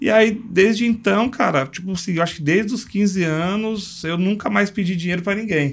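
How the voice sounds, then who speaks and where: A man speaks with a high-pitched voice. He leaves hardly any pauses. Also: ordinary pitch variation, moderate pace. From São Paulo, Brazil. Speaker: logistics entrepreneur. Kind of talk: casual interview chat.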